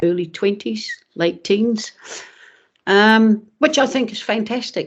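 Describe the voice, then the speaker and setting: This speaker has a New Zealand accent, talking at a fairly slow pace with ordinary pitch variation. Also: woman. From Netherlands, raised in New Zealand. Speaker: former footballer. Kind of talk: casual chat.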